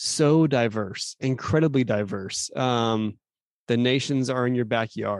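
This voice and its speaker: A man with an American accent has an unremarkable speaking voice at a medium pitch. He talks at a fairly slow pace with ordinary pitch variation and very even loudness over a quiet background. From Phoenix, Arizona. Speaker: podcast host, youth minister. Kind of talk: casual interview.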